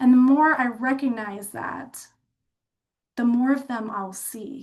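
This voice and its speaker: A high-pitched woman's voice with big swings in loudness. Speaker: dental health speaker. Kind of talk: webinar presentation. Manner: fast; animated.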